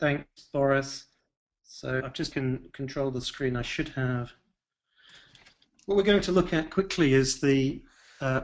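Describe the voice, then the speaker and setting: This man speaks with a British accent. His pitch is fairly high, with ordinary pitch variation. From England. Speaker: software expert. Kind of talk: software demonstration.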